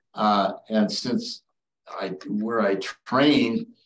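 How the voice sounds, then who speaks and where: In an Upper Midwest accent, the speech comes at a very slow pace. Its pitch swings very widely. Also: man. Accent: Upper Midwest American. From northern Wisconsin. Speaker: retired ENT surgeon. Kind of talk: educational talk. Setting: video call. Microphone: video call.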